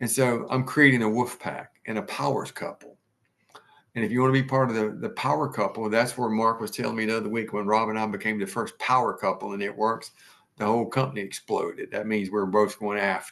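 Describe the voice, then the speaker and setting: Speaking at a fairly quick pace, a man with an American accent uses a medium pitch with ordinary variation. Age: 60s. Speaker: direct sales business leader. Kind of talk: motivational talk. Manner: animated.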